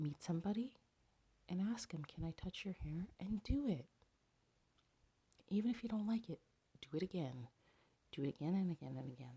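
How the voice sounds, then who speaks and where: The quiet, somewhat breathy voice has a dark, mellow tone and very wide pitch swings. It moves at a fairly quick pace, with long, frequent pauses. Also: woman, fairly low pitch for a woman. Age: 30s. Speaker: dating advice vlogger. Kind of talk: casual advice monologue. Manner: quiet, hushed.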